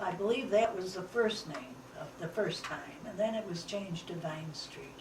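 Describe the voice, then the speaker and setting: The pitch moves in an ordinary way while the loudness swings widely. Noticeable background noise and audible room echo are present. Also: woman, medium pitch for a woman, moderate pace. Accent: American. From Liverpool, New York (upstate New York). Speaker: interviewee sharing family history. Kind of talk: oral history interview.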